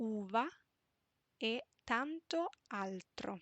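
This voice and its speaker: A woman speaks with lively intonation. Her voice sits fairly high. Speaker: Italian teacher. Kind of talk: reading aloud. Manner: slow.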